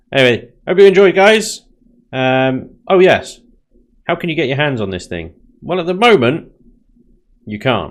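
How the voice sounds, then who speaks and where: A man with a British accent at a moderate pace, fairly high in pitch, with very wide pitch swings and long, frequent pauses. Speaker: gaming YouTuber. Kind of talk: gameplay commentary. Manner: casual.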